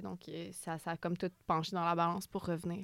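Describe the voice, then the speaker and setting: A woman's voice with monotone, flat intonation. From Quebec, Repentigny. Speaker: author and comedian. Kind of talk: interview.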